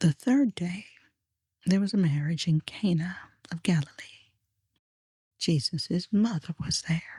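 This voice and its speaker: Somewhat breathy and calm in tone, this voice moves at a fairly slow pace with lively intonation and long, frequent pauses. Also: woman, fairly low pitch for a woman. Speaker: Bible reader / narrator. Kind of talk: quiet Bible reading for sleep. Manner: soft-spoken, calm, slow.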